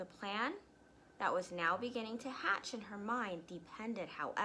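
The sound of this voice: The speaker reads in an unforced voice with ordinary pitch variation.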